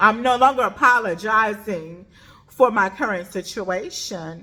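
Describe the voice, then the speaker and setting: A woman at a very slow pace with ordinary pitch variation, over noticeable background noise. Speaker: vlogger sharing her journey of deafness. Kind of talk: personal vlog monologue. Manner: may speak loudly, cannot hear own voice; emphatic, repetitive.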